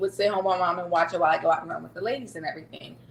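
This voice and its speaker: A woman at medium pitch with an ordinary speaking voice. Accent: American. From US South (Louisiana), later Sacramento. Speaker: non-profit executive director and caregiver. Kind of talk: podcast interview.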